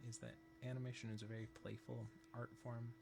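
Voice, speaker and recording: Here a man speaks at a fairly quick pace. His medium-pitched voice is somewhat breathy. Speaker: animator teaching on a live stream. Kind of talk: live-stream tutorial. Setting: live stream at computer. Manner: careful, clear diction.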